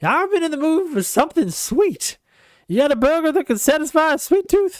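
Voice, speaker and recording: The speaker uses a put-on character voice with a high pitch. The delivery moves at a fairly quick pace. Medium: game stream. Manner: breezy, jokey.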